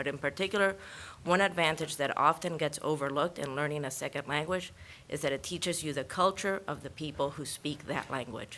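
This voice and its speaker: In a Spanish accent, a woman speaks at a fairly quick pace with a very deep, low pitch, a bright, sharp tone and fairly even intonation. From Ecuador, Guayaquil. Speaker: parent giving public comment. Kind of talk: public comment at school board meeting.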